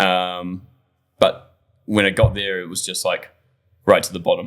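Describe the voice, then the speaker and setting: In a New Zealand accent, the speaker goes at a moderate pace with big swings in loudness, on a very clean recording with a silent background. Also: man. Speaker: bartender. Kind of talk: casual chat. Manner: halting.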